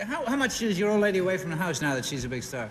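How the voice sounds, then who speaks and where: A man talks high in pitch, his voice swinging very widely, with noticeable background noise behind him. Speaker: game show panelist. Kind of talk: game show panel questioning.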